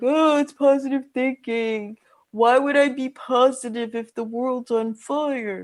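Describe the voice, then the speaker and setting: A put-on character voice, female-sounding and whiny with a whiny tone, is pitched high and delivered at a fairly slow pace. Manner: mocking, whiny.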